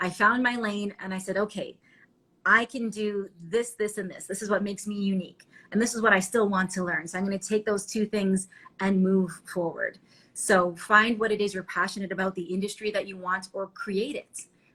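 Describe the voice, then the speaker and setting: A woman with a Canadian accent speaks loudly at a moderate pace and medium pitch. Her tone is bright and sharp. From Ontario, Canada. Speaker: TV reporter and anchor. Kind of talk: interview. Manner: animated.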